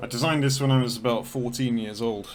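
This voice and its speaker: With audible room echo, a man talks at a fairly quick pace and medium pitch in a monotone, flat intonation. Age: 30s. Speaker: flight sim gamer. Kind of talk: casual gameplay commentary. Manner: rambling, casual.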